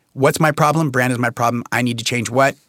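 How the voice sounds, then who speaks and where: An unremarkable speaking voice from a man at medium pitch with ordinary pitch variation, in a dry, close sound with no echo. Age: 40s. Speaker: podcast host in addiction recovery. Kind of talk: casual chat.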